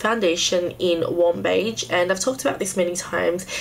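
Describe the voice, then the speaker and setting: Noticeable background noise accompanies a woman whose medium pitch shows ordinary variation as she talks at a moderate pace. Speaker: beauty YouTuber. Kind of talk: casual talk to camera.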